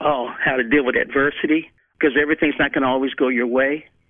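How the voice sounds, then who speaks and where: In a normal speaking voice, a man talks at a fairly quick pace with a fairly high pitch and fairly even intonation. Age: 50s. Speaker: football coach and former player. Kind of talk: interview. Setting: sitting down in person.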